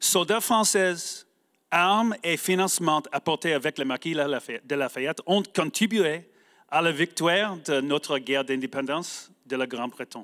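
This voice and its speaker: In an English accent, a man speaks fairly slowly with a bright, sharp tone, fairly high pitch and lively intonation, the recording very clean with a silent background and a dry, close sound with no echo. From United States. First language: English (speaking French). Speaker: homeschool advocacy leader. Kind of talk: prepared speech. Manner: halting.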